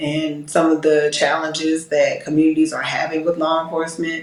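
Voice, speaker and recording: Over noticeable background noise, a woman with a fairly low pitch speaks at a moderate pace in an American accent. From US South, Georgia (Decatur, metro Atlanta). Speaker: police captain. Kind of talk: interview.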